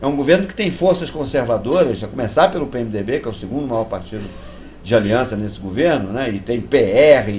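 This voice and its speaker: A man with medium pitch and very wide pitch swings talks at a fairly quick pace, with noticeable background noise and audible room echo. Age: 60s. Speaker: activist. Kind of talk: interview. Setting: live web broadcast.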